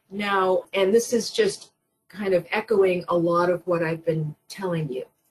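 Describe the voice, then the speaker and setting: A woman uses a normal speaking voice at a fairly slow pace. Her pitch is medium, with ordinary pitch variation. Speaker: usability expert, webinar presenter. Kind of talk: webinar presentation. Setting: online webinar.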